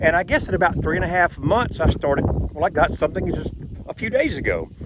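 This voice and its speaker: A man speaks very fast. Noticeable background noise runs underneath. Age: 60s. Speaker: YouTuber. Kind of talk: casual vlog monologue. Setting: outdoors on a boardwalk.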